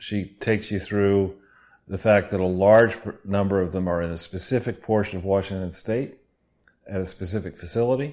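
On a very clean recording with a silent background, a man speaks in an unremarkable speaking voice. His pitch is fairly low, his intonation fairly even and his pace moderate. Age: 60s. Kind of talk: casual chat.

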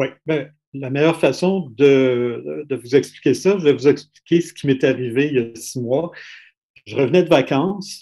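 In a Quebec accent, a man speaks with a dark, mellow tone and a fairly high pitch. His pace is fairly slow, with ordinary pitch variation and big swings in loudness. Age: 60s. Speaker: critical care doctor. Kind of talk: testimony.

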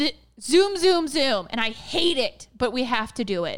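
A woman's high-pitched, animated voice at a fairly slow pace, with very wide pitch swings. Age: 20s. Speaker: podcast co-host. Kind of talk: casual chat.

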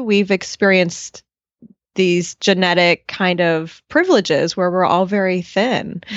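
A woman talks at a moderate pace with medium pitch and very even loudness. It is a normal speaking voice. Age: 40s. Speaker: dietitian. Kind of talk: interview. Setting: video call.

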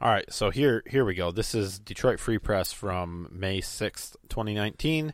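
Recorded very cleanly against a silent background, a man with an American accent and a plain, everyday voice talks at a moderate pace, his fairly low pitch showing ordinary variation. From Michigan. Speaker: political podcast co-host. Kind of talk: casual chat.

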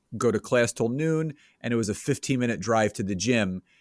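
On a very clean recording with a silent background and a dry, close sound with no echo, a man with an American accent speaks in a plain, everyday voice at medium pitch with lively intonation. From Philadelphia area, Pennsylvania. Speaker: business coach and entrepreneur. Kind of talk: interview.

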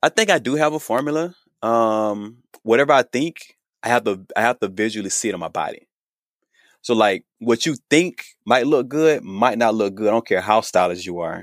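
A man uses an ordinary speaking voice at a moderate pace with lively intonation. The recording is very clean, with a silent background and a dry, close sound with no echo. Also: medium pitch for a man. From US South, Georgia. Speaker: menswear designer and sewing influencer. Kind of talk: interview.

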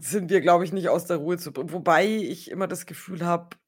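Speaking at a fairly quick pace, a woman with a fairly low pitch has an unremarkable speaking voice. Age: 30s. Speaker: podcast co-host. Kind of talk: casual chat.

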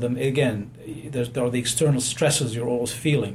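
With audible room echo and noticeable background noise, a man talks fairly quickly in a medium-pitched, monotone, flat voice. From abroad, unnamed home country. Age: 60s. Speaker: physician. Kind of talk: interview.

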